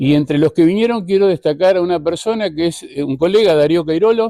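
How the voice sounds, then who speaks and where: In a Uruguayan accent, a man talks at a high pitch with lively intonation, a dark, mellow tone and a dry, close sound with no echo. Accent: Uruguayan Rioplatense Spanish. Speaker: tourism journalist and media director. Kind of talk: conference talk.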